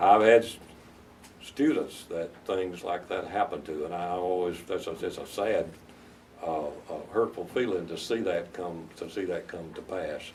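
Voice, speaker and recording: A man with a Southern US accent at a moderate pace, with big swings in loudness. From US South, North Carolina. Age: 70s. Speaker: veteran lawyer. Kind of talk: interview advice to law students. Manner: halting, many repetitions.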